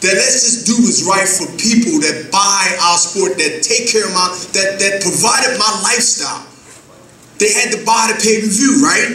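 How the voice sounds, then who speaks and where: In a high, raised and projected voice, a man speaks at a moderate pace with audible room echo. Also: ordinary pitch variation. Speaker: professional boxer. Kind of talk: press conference speech. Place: hall. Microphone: podium.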